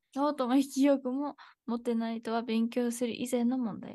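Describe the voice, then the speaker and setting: A woman speaks in a high, flat monotone with a dark, mellow tone, her voice dry and free of echo against a quiet background. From USA. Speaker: Japanese language teacher. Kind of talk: live-streamed language lesson. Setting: live stream. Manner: casual, chatty, switches between Japanese and English. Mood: cheerful, relaxed. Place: home room.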